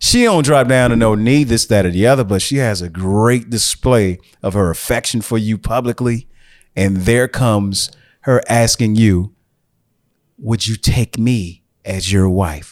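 A man talks at a fairly slow pace with medium pitch and ordinary pitch variation, in an animated tone. The recording is very clean with a silent background. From US Midwest. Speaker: podcast host. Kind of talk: casual chat.

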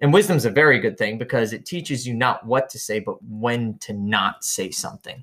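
A man with a plain, everyday voice, medium in pitch, fairly quick with hardly any pauses, lively intonation and big swings in loudness. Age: 30s. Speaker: podcast co-host, military veteran. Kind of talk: casual chat.

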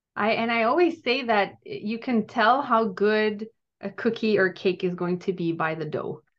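A woman with a French Canadian accent speaks at a moderate pace, her fairly high voice carrying lively intonation. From Quebec, Gatineau. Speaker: wellness coach and cookbook author. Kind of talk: podcast interview.

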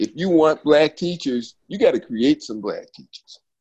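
A man speaks in a normal speaking voice at a moderate pace, with ordinary pitch variation. The sound is dry and close, with no echo. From Philadelphia. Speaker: school choice advocate. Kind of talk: casual chat.

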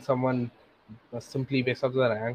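A man speaks with an Indian accent at a moderate pace. His pitch is medium. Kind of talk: casual chat.

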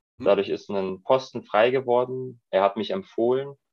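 A man with a plain, everyday voice speaks at medium pitch and a moderate pace, his intonation lively. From Germany, Munich (Bavaria). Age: 30s. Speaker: goalkeeper coach. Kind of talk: interview.

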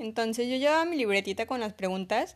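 In a very clean recording with a silent background, a woman with a normal speaking voice talks at a fairly quick pace, her fairly high pitch showing ordinary variation. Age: 20s. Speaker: podcast host, mom blogger. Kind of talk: solo podcast monologue.

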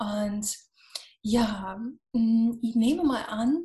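A woman with an English accent speaks in a fairly high, dark and mellow voice with fairly even intonation. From US, Florida. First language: English (speaking German). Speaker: business coach. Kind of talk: podcast interview.

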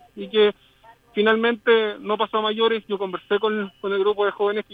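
A man with a high pitch and a Chilean accent, at a moderate pace. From southern Chile (Temuco). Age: 30s. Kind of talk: remote interview. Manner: halting.

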